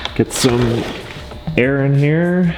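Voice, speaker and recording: A man's lively intonation, with music in the background and audible room echo. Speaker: car enthusiast YouTuber. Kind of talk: vlog commentary. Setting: garage. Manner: casual, filler-heavy.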